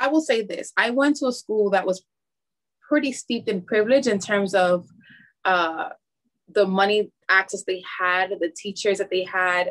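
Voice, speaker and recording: Speaking at a moderate pace and medium pitch with ordinary pitch variation, a woman with an American accent is heard in a dry, close sound with no echo. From Harlem, New York, West Indian family. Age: young. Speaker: math teacher and coach. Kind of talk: interview conversation.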